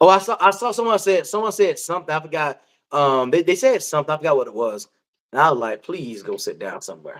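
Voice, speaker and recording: A man with a high pitch, very wide pitch swings, big swings in loudness, a very fast pace and an animated tone, on a very clean recording with a silent background. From US South, Georgia. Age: 40s. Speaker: live stream panel host. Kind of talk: casual chat.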